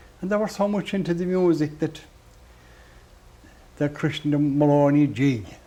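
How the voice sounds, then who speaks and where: In a west of Ireland accent, a man with a dark, mellow tone and fairly high pitch speaks with long, frequent pauses. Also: ordinary pitch variation, moderate pace. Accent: west of Ireland (Clare) Irish. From Ireland, Doolin, County Clare. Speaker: traditional musician. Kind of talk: interview. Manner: halting.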